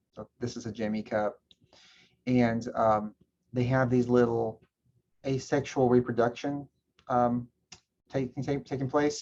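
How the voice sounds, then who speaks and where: A man speaks at a fairly slow pace. His pitch sits in the middle range. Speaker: college instructor. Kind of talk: lecture.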